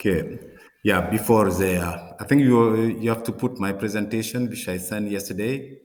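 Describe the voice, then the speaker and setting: A man with a French accent, fairly low in pitch, at a moderate pace with ordinary pitch variation, in audible room echo. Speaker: professor, water resource scientist. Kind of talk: conference presentation. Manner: hesitant, many fillers and repetitions.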